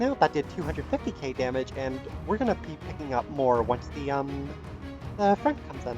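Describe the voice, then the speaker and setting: A man talks at a medium tempo while music plays behind him. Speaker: mobile game commentator. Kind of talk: gameplay commentary.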